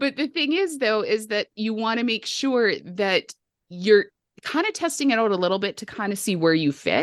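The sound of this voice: With a Canadian accent, a woman speaks at a fairly high pitch with very wide pitch swings, the sound dry and close with no echo against a quiet background.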